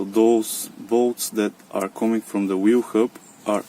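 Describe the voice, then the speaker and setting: At a fairly slow pace, the speaker talks with a non-native accent over noticeable background noise. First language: non-native English speaker. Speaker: car DIY hobbyist. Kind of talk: DIY repair tutorial talk to camera. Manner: hesitant, many fillers.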